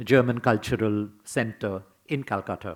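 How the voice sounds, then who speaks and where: On a very clean recording with a silent background, a man speaks with a Bengali accent. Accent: Bengali Indian English. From Bengal, India. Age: 80s+. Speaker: scholar and theatre critic. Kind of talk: memorial lecture.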